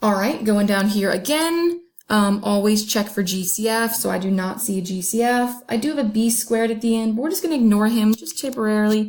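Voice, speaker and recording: A woman talks at a fairly quick clip with hardly any pauses, her pitch fairly high and somewhat breathy. Her pitch moves in an ordinary way. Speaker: math teacher. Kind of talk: tutorial. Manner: fast.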